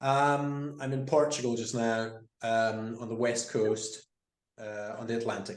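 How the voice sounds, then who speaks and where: Audible room echo surrounds a man with a Scottish accent who speaks at a fairly slow pace in a medium pitch. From Scotland. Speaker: guest on a conversation series. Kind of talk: casual chat.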